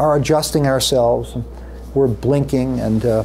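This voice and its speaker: Noticeable background noise and audible room echo surround the voice. A man talks at a moderate pace. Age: 60s. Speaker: neurology professor. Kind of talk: lecture. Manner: hesitant fillers.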